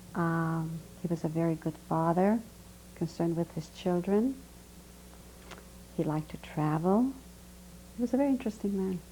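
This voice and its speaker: A woman's fairly low, somewhat breathy voice with a dark, mellow tone, lively intonation, and long, frequent pauses. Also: moderate pace. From Hungary. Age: 60s. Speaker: Holocaust survivor. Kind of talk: oral history testimony interview.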